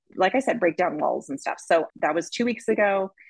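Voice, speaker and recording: A woman's voice with vocal fry and lively intonation at a moderate pace, in a dry, close sound with no echo. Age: 40s. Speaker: home cook and food blogger. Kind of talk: casual chat.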